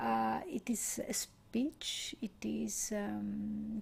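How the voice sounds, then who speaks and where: A soft-spoken woman with a Greek accent. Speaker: meditation teacher. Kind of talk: guided meditation. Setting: live stream. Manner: slow.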